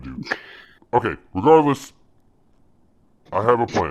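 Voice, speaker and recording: The delivery comes in a put-on character voice, moving along at a moderate pace. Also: man, medium pitch for a man. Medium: actual play. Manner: imperious, commanding.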